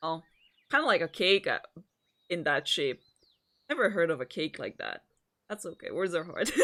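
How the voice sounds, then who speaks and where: A woman with a non-native accent at a moderate pace, with long, frequent pauses. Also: dry, close sound with no echo. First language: not English. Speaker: vtuber streamer. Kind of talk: casual livestream chat and reading a visual novel aloud. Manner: halting, frequent stammered repeats.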